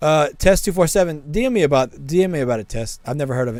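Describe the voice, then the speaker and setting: The delivery is fairly quick, with lively intonation. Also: man. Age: 30s. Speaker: game streamer. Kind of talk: live stream chat. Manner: casual, halting.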